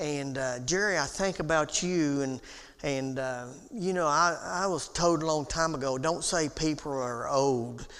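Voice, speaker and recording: In a room with audible echo, a man talks at a fairly slow pace with a fairly high pitch and ordinary pitch variation. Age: 60s. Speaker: Bible class teacher. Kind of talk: Bible class lecture. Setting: church auditorium. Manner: halting, with many fillers.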